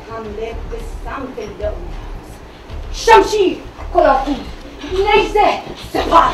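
The voice is dramatic in tone, fairly slow, with very wide pitch swings. Noticeable background noise runs underneath. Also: woman. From Iran. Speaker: traditional Iranian storyteller. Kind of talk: live solo theatrical storytelling performance. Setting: live stage. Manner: dramatic, declamatory.

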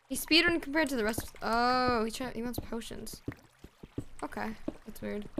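A woman speaks at a moderate pace with ordinary pitch variation and big swings in loudness. Long, frequent pauses break her speech over noticeable background noise. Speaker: streamer. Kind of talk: casual gaming livestream chat. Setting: live stream with voice chat. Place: home room. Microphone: headset.

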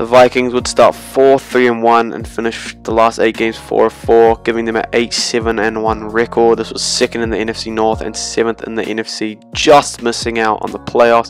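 A man's medium-pitched voice carries along with music in the background. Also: moderate pace. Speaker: sports video creator. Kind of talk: sports retrospective commentary. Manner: casual.

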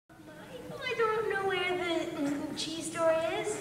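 Someone in a put-on character voice speaks at an extremely high pitch and a fairly slow pace. Clear background noise and a clear echo fill the recording. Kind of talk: convention cosplay skit performance. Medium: stage.

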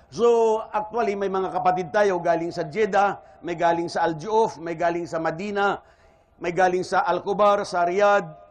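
In a Western Visayan accent, a man talks at a moderate pace with a high pitch and fairly even intonation. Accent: Ilonggo. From Philippines, Iloilo. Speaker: Islamic preacher. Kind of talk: religious lecture. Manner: formal.

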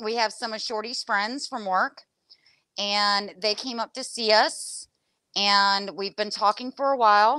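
Against a quiet background, a woman speaks at a fairly slow pace in a bright, sharp tone with ordinary pitch variation. The sound is dry, with no echo. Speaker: paint crafter hosting a livestream. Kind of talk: casual livestream chat. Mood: cheerful, relaxed. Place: shop. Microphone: lapel.

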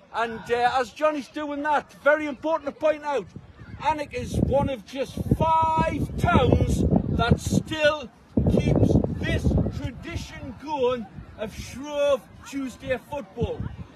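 A man at a very slow pace, with ordinary pitch variation, a dry echo-free sound and loud background noise. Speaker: TV presenter. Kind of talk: live event commentary. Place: open country.

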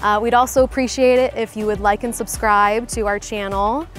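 Faint music plays behind a woman whose intonation stays fairly even. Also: dry sound with no echo. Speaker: real estate channel host. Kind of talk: presenter to camera. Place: garden. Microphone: lapel.

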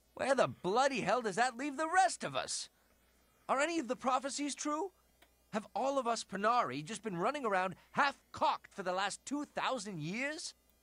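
A man puts on a character voice at an extremely high pitch, with big pitch swings. The tone is bright and sharp, and the pace is moderate.

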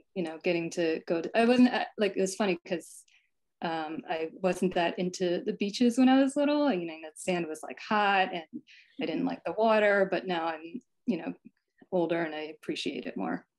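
An unremarkable speaking voice with an American accent, moderate in pace and lively in intonation, over a quiet background. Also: woman, medium pitch for a woman. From New Jersey, US. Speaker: picture book illustrator. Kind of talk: presentation and drawing workshop. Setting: video call. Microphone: video call.

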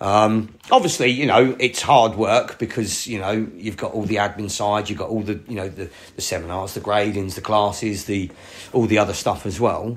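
A man speaks at a fairly low pitch and a moderate pace. His intonation is fairly even, but his loudness swings widely. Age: 40s. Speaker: karate instructor. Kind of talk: casual chat. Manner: loud, projecting.

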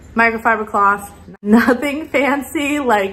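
A woman speaks with ordinary pitch variation. Her pace is fairly slow. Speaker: home cleaning vlogger. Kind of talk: casual vlog chat. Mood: cheerful, laughs often. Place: kitchen. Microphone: phone near.

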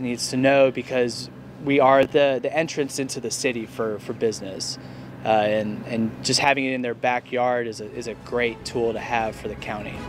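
A man speaks with monotone, flat intonation. The sound is dry with no echo, though noticeable background noise comes through. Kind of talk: interview answer. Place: street. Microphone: lapel.

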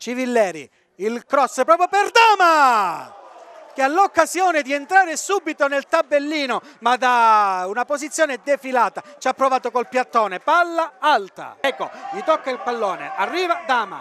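A man's extremely high, bright and sharp voice, raised and projected, with very wide pitch swings at a moderate pace. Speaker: football commentator. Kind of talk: live football match commentary, reading play-by-play over highlights. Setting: voiceover on match highlights video.

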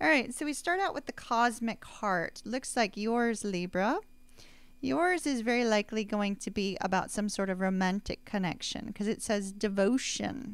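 Lively in intonation, a woman talks at a moderate pace in a dry sound with no echo. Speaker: tarot reader. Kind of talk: casual vlog chat. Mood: warm, cheerful. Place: home room.

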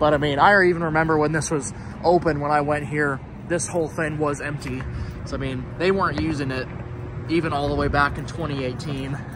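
A man speaks at a fairly quick pace with fairly even intonation. The sound is dry with no echo, and there is noticeable background noise. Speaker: urban explorer vlogger. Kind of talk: casual vlog commentary. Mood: nostalgic, reflective. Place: street. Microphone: phone near.

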